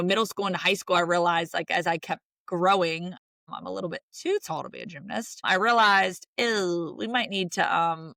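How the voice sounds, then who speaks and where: A woman with a Southern accent, medium pitch and a bright, sharp tone at a moderate pace. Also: dry, close sound with no echo. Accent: Southern, says y'all. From US South, rural Virginia (Roanoke). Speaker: sports broadcaster. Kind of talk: interview conversation. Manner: animated.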